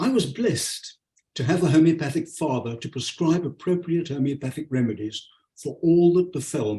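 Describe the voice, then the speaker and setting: Somewhat breathy and dark, mellow in tone, a man's fairly high voice carries lively intonation at a moderate pace. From South Africa (born Leeds, England). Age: 80s+. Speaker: homeopathic doctor and lecturer. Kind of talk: webinar lecture. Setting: video call webinar.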